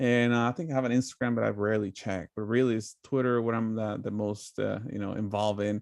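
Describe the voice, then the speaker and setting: In a Spanish accent, a man at medium pitch talks very fast with hardly any pauses and fairly even intonation against a quiet background. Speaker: political commentator. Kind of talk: casual chat. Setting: live stream.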